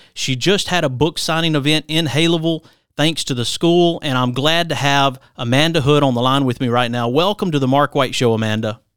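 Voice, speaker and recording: With an ordinary speaking voice, a man talks at a fairly quick pace and a fairly high pitch. He shows ordinary pitch variation and hardly any pauses. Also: very clean recording, silent background. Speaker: radio host. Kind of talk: radio interview with ad reads and show intros. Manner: warm, polished radio-announcer delivery.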